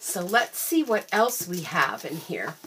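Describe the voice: A woman's bright, sharp tone with a slightly husky edge, at a fairly slow pace.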